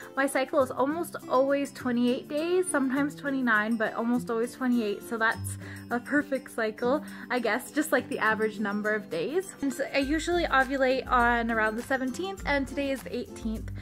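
A woman speaks at a moderate pace with a high pitch, ordinary pitch variation and hardly any pauses, while clear music plays in the background. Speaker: vlogger. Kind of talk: casual vlog chat. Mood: cheerful, upbeat. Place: home room. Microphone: phone near.

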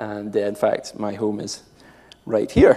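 In a Scottish accent, a man speaks with a dark, mellow tone at a fairly low pitch. His pace is fairly slow and his pitch moves little.

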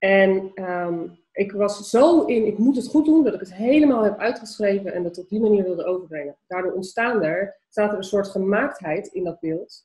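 Ordinary pitch variation at a moderate pace. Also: woman. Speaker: entrepreneur and vlogger. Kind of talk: casual interview. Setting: video call. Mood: warm, animated, laughing. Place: home room. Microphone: webcam.

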